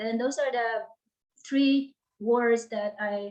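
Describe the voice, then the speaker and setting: A woman's high-pitched voice with a Filipino accent and fairly even intonation. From Philippines. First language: Tagalog. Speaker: author and life coach. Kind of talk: interview. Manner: halting.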